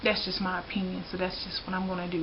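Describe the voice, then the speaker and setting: A woman with a Southern US accent and a medium pitch is heard over noticeable background noise. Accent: Southern US drawl. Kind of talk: casual talk to camera. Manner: frank, opinionated.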